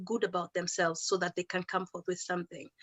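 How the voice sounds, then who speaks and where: The speaker has a Kenyan accent. The delivery is very fast. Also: woman. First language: Kikuyu. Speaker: educator and musician. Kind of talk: talk at an online celebration.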